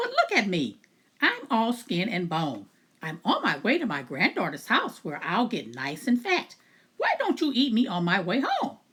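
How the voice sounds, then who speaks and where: A put-on character voice that sounds female, pitched fairly high for a woman. She speaks at a moderate pace. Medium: read story.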